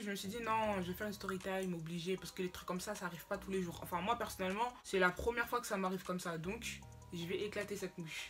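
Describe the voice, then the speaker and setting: With music in the background, a woman talks at a very fast pace. Her pitch sits in the medium range. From Cameroon. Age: young. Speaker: YouTuber. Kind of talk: casual storytime talk to camera. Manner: lively, slangy.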